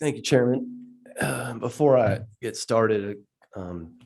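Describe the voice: A man's slow, medium-pitched voice with ordinary pitch variation, vocal fry, a slightly mellow tone and audible room echo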